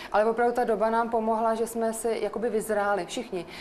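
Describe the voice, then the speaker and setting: A woman at medium pitch and a very fast pace. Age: 40s. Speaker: guest sharing personal story. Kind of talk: personal testimony in radio chat.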